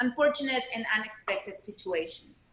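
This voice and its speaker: Speaking with a Spanish accent, a woman has a fairly high pitch. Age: 30s. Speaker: panelist. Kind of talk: panel discussion. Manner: halting.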